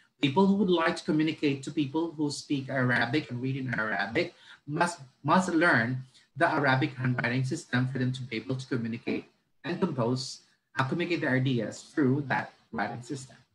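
In a Filipino accent, a man talks at a fairly quick pace and medium pitch, with ordinary pitch variation. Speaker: education consultant. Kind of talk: lecture. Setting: video call. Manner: halting.

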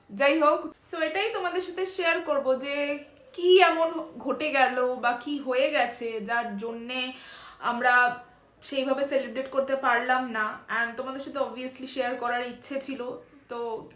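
Against audible room echo, a woman speaks with a high pitch and ordinary pitch variation. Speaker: vlogger. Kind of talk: casual vlog chat. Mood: subdued, sharing family troubles. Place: home room. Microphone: phone near.

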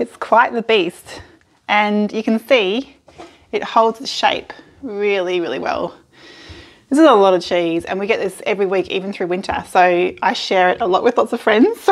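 The woman talks at a moderate pace with ordinary pitch variation. The background is quiet. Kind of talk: tutorial. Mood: cheerful, laughing often. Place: kitchen. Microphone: phone near.

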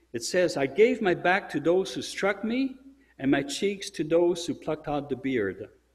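Somewhat breathy, a man speaks with a French accent at a moderate pace, his intonation lively. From Europe. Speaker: church speaker. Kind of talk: sermon-style religious presentation. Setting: church. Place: church.

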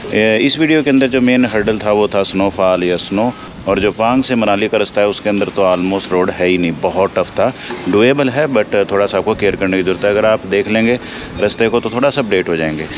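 Noticeable background noise sits behind a man speaking at a fairly quick pace. His loudness is very even and his pitch variation ordinary. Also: fairly low pitch for a man. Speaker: travel vlogger. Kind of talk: casual vlog chat. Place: street. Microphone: phone near.

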